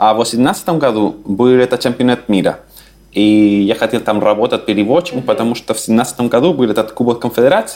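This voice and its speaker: Speaking at a fairly quick pace with a Spanish accent, a man keeps a very even loudness, a medium pitch and ordinary pitch variation. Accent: Spanish accent in Russian. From Chile, Santiago. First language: Spanish (speaking Russian). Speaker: immigrant and language teacher. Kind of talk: interview.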